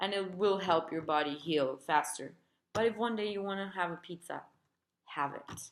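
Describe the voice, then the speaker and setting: A woman talks at a moderate pace in a fairly low pitch with ordinary pitch variation. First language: Spanish. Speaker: therapist and healer sharing recovery experience. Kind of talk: personal advice video. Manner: casual, conversational.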